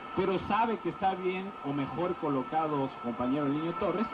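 The intonation is lively and the tone animated and enthusiastic. Noticeable background noise runs underneath. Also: man. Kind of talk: live football commentary (co-commentator analysis). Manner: animated, fluent, enthusiastic praise.

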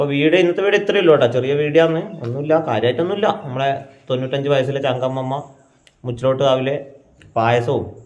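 There is audible room echo as a man talks in a fairly high pitch with ordinary pitch variation. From Kerala, Kannur. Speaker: family vlogger. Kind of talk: casual vlog talk to camera. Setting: at home.

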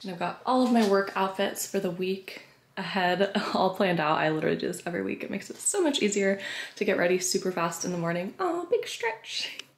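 Against noticeable background noise, a woman talks at a fairly quick pace with a medium pitch and fairly even intonation. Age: 20s. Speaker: teacher and fitness vlogger. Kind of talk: casual vlog. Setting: outdoors on a walk with dog.

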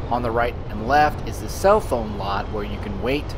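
A man's voice comes through with noticeable background noise. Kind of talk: casual driving commentary. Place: car.

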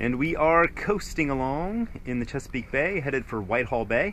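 Light background noise accompanies a man talking at a fairly slow pace. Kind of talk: casual vlog chat. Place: boat. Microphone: phone near.

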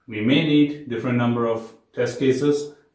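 The speech moves at a moderate pace with fairly even intonation. Audible room echo sits over a quiet background. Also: man. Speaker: software testing educator. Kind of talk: lecture. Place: home room.

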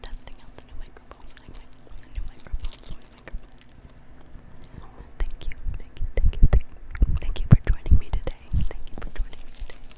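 A woman whispers at a moderate pace. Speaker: ASMR creator. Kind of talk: ASMR whisper session. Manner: whispered; soothing, soft-spoken. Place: home room. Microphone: studio mic.

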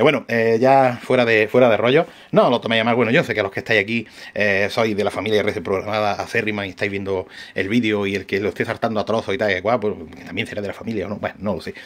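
Speaking very fast, a man with a fairly low pitch keeps his intonation fairly even. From Andalusia, Spain. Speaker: RC hobby shop owner and YouTuber; YouTuber. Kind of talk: casual vlog talk to camera. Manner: hesitant, many fillers and restarts. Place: workshop. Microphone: phone near.

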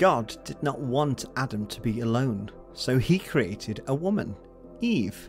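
Over music in the background, a man with an English accent talks at a fairly slow pace and medium pitch, his voice swinging very widely in pitch. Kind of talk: children's story narration.

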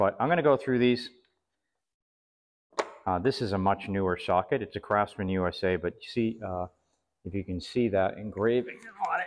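Here is a man with an unremarkable speaking voice, pitched fairly low. His pitch variation is ordinary. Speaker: flea market reseller. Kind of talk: casual show-and-tell vlog. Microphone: camera far.

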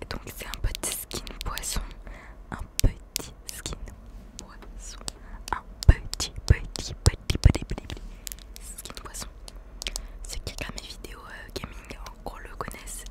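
Whispering, a woman takes a very slow pace. Long pauses interrupt her often. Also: big swings in loudness. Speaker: gaming and ASMR YouTuber. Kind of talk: casual talk to camera, ASMR. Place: home room. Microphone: studio mic.

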